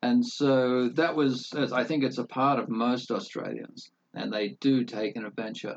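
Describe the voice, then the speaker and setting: Speaking with hardly any pauses, a man uses an ordinary speaking voice of medium pitch with fairly even intonation. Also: fairly slow pace. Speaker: entrepreneur. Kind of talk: casual interview chat.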